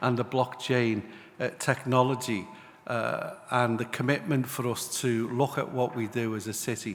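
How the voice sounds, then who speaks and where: With a Liverpool accent, a man speaks at a moderate pace and a medium pitch in a monotone, flat intonation. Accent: Liverpool (Scouse). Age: 60s. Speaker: city mayor. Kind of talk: panel speech. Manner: hesitant, many fillers.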